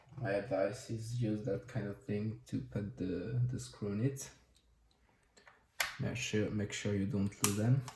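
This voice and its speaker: A man's fairly low-pitched voice with a dark, mellow tone, a French accent and vocal fry, ordinary pitch variation, a fairly slow pace and long, frequent pauses. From France. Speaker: tech hobbyist. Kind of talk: tutorial. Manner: halting.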